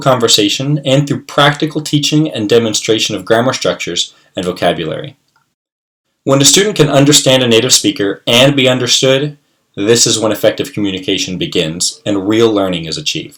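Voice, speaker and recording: An ordinary speaking voice moves at a fairly quick pace in an American accent. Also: man. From US, West Virginia. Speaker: English teacher. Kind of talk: scripted self-introduction. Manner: formal.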